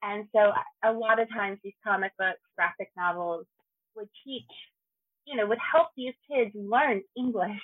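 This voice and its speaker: A woman with a normal speaking voice talks at a fairly slow pace, her fairly high pitch showing ordinary variation and her loudness swinging widely. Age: 30s. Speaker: convention Twitch content producer. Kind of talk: casual chat.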